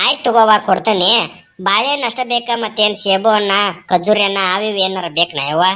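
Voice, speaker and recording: A woman puts on a cartoonish character voice at a medium pitch with ordinary pitch variation. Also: moderate pace. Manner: folksy, coaxing.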